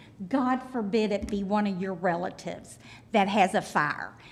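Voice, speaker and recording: The voice has vocal fry and a fairly slow pace. Its pitch variation is ordinary. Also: woman. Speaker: resident speaking at public hearing. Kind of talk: public comment. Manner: loud.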